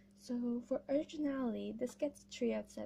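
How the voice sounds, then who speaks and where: A woman at a fairly slow pace, dark and mellow in tone, somewhat breathy. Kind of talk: casual animation meme review commentary. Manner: hesitant, stumbling.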